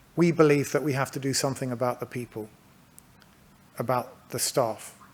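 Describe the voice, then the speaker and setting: Speaking at a fairly quick pace, a man with a British accent talks at a medium pitch. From England. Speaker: healthcare company manager. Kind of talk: conference presentation. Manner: halting.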